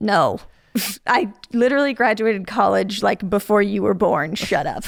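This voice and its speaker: A plain, everyday voice with an American accent carries lively intonation. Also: woman. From US Midwest, Chicago suburbs (Illinois). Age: 30s. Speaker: HVAC technician. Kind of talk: podcast interview. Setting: podcast studio.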